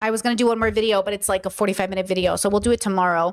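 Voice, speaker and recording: In a Californian accent, a woman speaks at a medium pitch. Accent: California. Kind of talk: casual livestream commentary.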